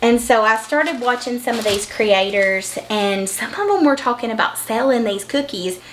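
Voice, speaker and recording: A woman's fairly quick, lively speech at a fairly high pitch with a Southern US accent, audible room echo and noticeable background noise. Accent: Southern country. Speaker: vlogger and online business owner. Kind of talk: casual vlog chat while cooking. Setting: home kitchen. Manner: casual, folksy.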